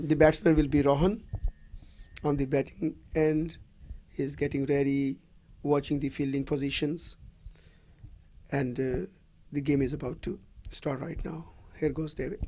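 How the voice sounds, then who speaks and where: A man with a fairly high pitch has a dark, mellow tone and fairly even intonation. He talks at a moderate pace with long, frequent pauses. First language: not English; native languages not European. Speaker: cricket commentator. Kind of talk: live commentary.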